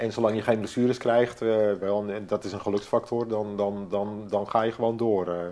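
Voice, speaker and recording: Against noticeable background noise, a man speaks at a medium pitch in a monotone, flat delivery. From North Holland, Netherlands (Hoorn). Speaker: former commando conscript. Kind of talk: interview. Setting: at home. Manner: halting, many repetitions.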